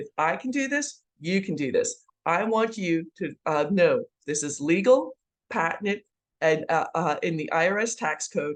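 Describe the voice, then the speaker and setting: A woman speaks at a fairly slow pace in a fairly low voice. Her intonation is lively. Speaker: tax trust consultant and real estate investor. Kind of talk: sales presentation. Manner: halting with frequent fillers.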